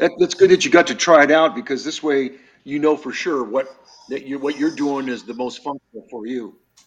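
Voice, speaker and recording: Talking at a fairly quick pace, a man with an unremarkable speaking voice has a fairly high pitch, ordinary pitch variation and big swings in loudness. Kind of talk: casual talk show. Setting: video call.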